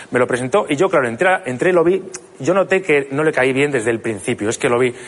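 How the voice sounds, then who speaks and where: At a very fast pace and with lively intonation, a man with a fairly high pitch speaks over noticeable background noise. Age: 30s. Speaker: comedian. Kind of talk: stand-up. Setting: stage with audience. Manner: halting.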